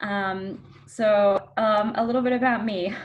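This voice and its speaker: With an Australian accent, a woman talks using ordinary pitch variation. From Australia, Melbourne. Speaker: dietitian. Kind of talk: interview.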